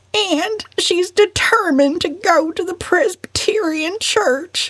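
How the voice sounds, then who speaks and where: Using a put-on character voice, a female-sounding speaker talks at a fairly slow pace with an extremely high pitch. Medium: read story. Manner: whimpering, plaintive.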